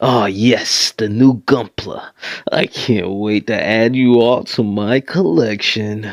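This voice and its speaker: Using a put-on character voice, a man talks at a medium pitch and a fairly slow pace. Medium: audio drama.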